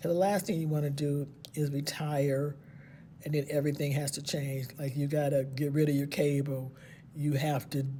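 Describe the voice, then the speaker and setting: At a moderate pace, a somewhat breathy woman speaks with fairly even intonation, her very deep, low voice carrying a dark, mellow tone. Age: 60s. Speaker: retiring special education teacher. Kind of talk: casual vlog monologue. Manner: conversational, with fillers.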